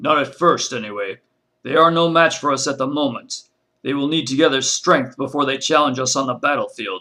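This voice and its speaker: Doing a put-on character voice, a man speaks fairly quickly at a fairly high pitch with fairly even intonation. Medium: read story.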